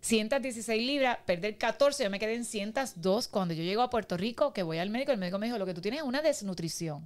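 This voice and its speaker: A woman with a fairly high voice talks at a fairly quick pace, her intonation lively and hardly any pauses. The recording is very clean, with a silent background. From Cuba, Pinar del Río. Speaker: podcast guest, Cuban immigrant. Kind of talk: casual interview, personal story. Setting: studio.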